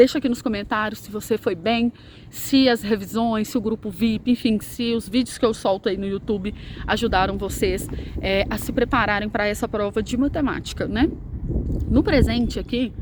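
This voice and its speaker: This woman's pitch is fairly high, with fairly even intonation. Noticeable background noise can be heard around her. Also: moderate pace. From Brazil, Minas Gerais. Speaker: math teacher. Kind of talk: casual vlog; sales pitch. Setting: outdoors. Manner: soft-spoken.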